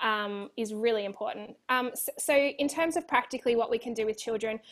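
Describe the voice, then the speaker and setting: A woman talks in an Australian accent at a moderate pace. Her fairly high pitch shows ordinary variation. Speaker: children's resilience educator and author. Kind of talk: interview.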